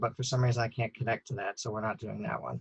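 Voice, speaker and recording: Breath is somewhat audible in this voice. The pace is very fast. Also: man. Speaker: author. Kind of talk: casual live-stream host talk.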